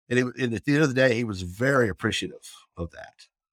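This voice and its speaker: A man's fairly quick speech with a Southern US accent, dry and close with no echo, on a very clean recording with a silent background. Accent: Southern US (Oklahoma). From US South, southern Oklahoma. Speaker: addiction interventionist. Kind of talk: casual interview.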